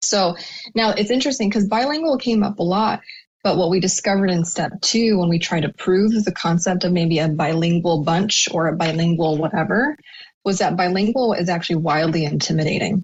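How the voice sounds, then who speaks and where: The speaker talks at a fairly quick pace with an American accent and a somewhat breathy sound. Loudness stays very even, and pitch varies in an ordinary way. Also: woman, medium pitch for a woman. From US, Cuban American family. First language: Spanish. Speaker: marketing expert. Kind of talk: podcast interview.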